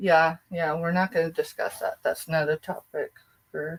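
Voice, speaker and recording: Breathy to some degree, a woman's voice at a fairly low pitch carries an American accent, with a dry, close sound and no echo. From southeast Colorado. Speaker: online reseller. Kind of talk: live selling stream. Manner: casual, chatty.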